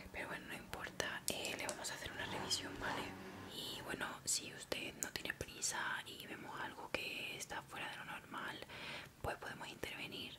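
Over loud background noise, a soft-spoken woman talks at a moderate pace. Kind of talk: roleplay, soft spoken. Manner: soft close-mic ASMR murmur. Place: home room. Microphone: studio mic.

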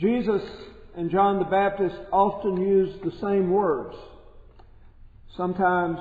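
A high-pitched man at a fairly slow pace with long, frequent pauses and audible room echo. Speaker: priest. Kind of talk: sermon. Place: church. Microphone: podium.

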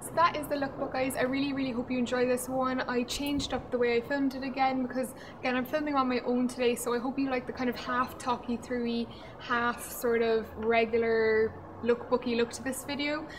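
In a Cork accent, a woman talks at a fairly quick pace with a high pitch and monotone, flat intonation. Noticeable background noise runs underneath. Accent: Cork Irish. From Ireland, Cork; Ireland. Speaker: fashion vlogger. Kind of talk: fashion tutorial. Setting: home, filming alone. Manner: casual, chatty. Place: street. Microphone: camera far.

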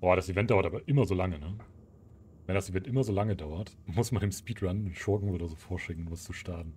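The voice has a dark, mellow tone and is somewhat breathy. It moves at a very fast pace with ordinary pitch variation. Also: man, very deep, low pitch for a man. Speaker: gaming streamer. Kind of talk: live gameplay commentary. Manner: animated.

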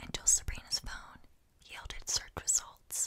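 In a whisper, the words come at a fairly slow pace. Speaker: ASMR storyteller. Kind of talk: reading aloud. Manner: whispered.

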